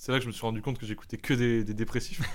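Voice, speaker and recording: A man speaks with lively intonation. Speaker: podcast host. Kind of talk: casual chat. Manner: loud.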